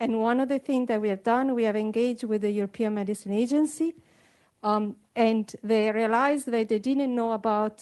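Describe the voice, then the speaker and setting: This woman's fairly high voice has a dark, mellow tone, fairly even intonation and very even loudness. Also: quiet background. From United States. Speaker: EU funding agency representative. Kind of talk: audience question at panel discussion.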